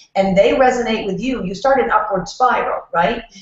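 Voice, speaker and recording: Noticeable background noise runs under the recording. A woman speaks at a fairly high pitch with ordinary pitch variation. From New York. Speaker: networking expert. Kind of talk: casual chat. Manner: fast.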